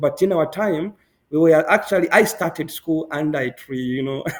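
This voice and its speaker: The man's intonation is lively. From Zambia, Northwestern Province (Solwezi). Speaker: medical doctor and public health student. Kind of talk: interview. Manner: halting.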